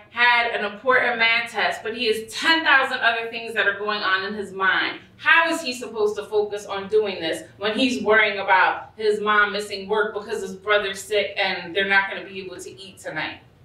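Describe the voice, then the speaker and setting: Speaking at a moderate pace with ordinary pitch variation, a woman's voice shows big swings in loudness and audible room echo. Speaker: presenter. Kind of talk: lecture. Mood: earnest, emotional. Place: hall.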